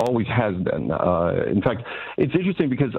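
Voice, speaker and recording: Music plays in the background as a man speaks at a very fast pace. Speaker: radio interview guest. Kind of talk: interview answer. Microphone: phone line.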